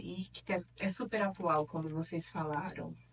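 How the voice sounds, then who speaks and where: A woman with a northeastern Brazilian accent, fairly slow pace and ordinary pitch variation, over noticeable background noise. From Piauí, Northeast Brazil. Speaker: neuropsychologist and professor. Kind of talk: interview. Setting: studio.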